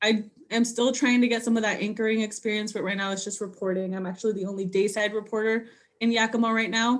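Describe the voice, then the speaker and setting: A woman with a Spanish accent speaks at a very fast pace in a fairly high, monotone voice with flat intonation. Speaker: TV news reporter. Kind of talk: casual interview. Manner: casual, many fillers.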